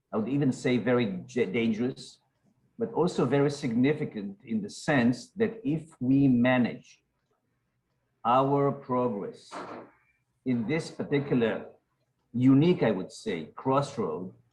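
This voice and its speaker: A man at medium pitch, somewhat breathy, with lively intonation, a fairly slow pace and long, frequent pauses. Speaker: security researcher and retired general. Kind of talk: panel discussion. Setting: webinar. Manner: formal.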